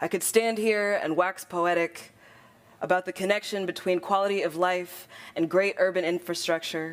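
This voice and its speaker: At a moderate pace and with fairly even intonation, a woman talks in an unremarkable speaking voice. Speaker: poet. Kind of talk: poetry slam performance. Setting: conference stage.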